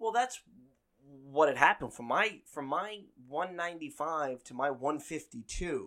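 With an American accent, a man talks in a fairly high pitch, his bright, sharp tone riding lively intonation and big swings in loudness. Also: moderate pace. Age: 30s. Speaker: radio host and podcaster. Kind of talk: casual chat. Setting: home recording.

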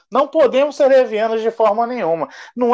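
A man's high-pitched voice moves at a moderate pace. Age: 20s. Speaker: podcast co-host. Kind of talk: casual chat.

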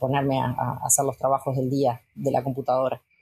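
At a moderate pace, a woman speaks with a very deep, low pitch and a dark, mellow, somewhat breathy tone. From Uruguay, Colonia department countryside. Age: 40s. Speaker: veterinarian and cattle breeder. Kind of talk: interview testimony.

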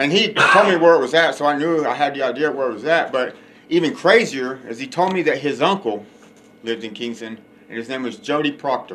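Over noticeable background noise, a man with a Texan accent talks at a fairly quick pace, using lively intonation at a fairly high pitch. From West Texas. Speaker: podcast host, recovering addict. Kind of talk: recovery testimony.

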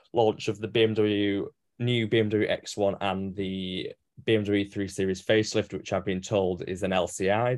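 A man with an English accent speaks at a fairly low pitch. The recording is very clean, with a silent background. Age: 20s. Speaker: motoring journalist. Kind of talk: casual chat. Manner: halting.

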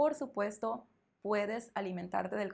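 A woman speaks in a northern Mexican accent. Her pace is moderate. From northern Mexico. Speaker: Spanish teacher. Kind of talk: interview answers; podcast monologue.

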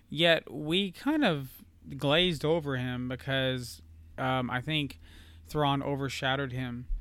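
This man has an ordinary speaking voice, pitched fairly high, and its pitch varies in an ordinary way. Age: 40s. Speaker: podcast co-host. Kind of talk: casual chat.

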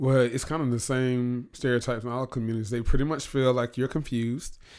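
An unremarkable speaking voice from a man, medium in pitch, fairly quick, with fairly even intonation on a very clean recording with a silent background. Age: 30s. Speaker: blogger and radio host. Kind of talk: casual chat.

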